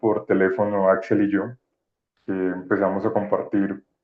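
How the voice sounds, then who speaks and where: Fairly low in pitch, a man talks at a fairly slow pace in a monotone, flat intonation. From Colombia, Pacific coast. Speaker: anthology editor. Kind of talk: presentation.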